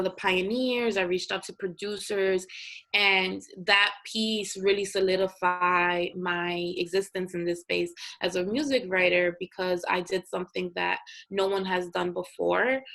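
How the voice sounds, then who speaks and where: A woman speaks with an American accent in a plain, everyday voice at a medium pitch. Her pace is fairly slow and her intonation fairly even. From US Northeast, North Philadelphia. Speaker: journalist and multimedia creator. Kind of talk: interview.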